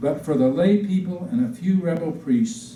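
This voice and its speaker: Amid noticeable background noise and audible room echo, a man with an American accent speaks at high pitch with very wide pitch swings. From Virginia, US South. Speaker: Episcopal priest. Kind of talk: public history talk. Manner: informal, folksy.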